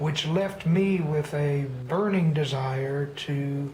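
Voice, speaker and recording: Noticeable background noise sits behind a voice with an American accent. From Texas. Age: 60s. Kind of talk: personal storytelling monologue.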